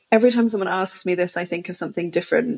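In a London accent, a woman speaks with ordinary pitch variation. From England, London. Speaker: film festival director. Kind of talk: casual interview.

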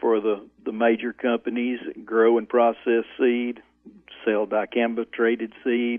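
With an Arkansas accent, a man talks at a fairly slow pace in a medium pitch. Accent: Southern US (Arkansas). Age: 60s. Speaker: farmer. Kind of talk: interview.

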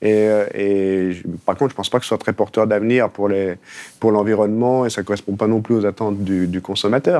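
Against a quiet background, a man with a dark, mellow tone and fairly low pitch speaks at a moderate pace with fairly even intonation. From Haute-Savoie, France. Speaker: documentary filmmaker. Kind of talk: interview. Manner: halting, with repetitions.

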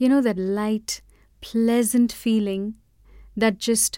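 A woman's dark, mellow tone with fairly even intonation, on a very clean recording with a silent background. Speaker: podcast host and mantra chanter. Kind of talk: storytelling monologue.

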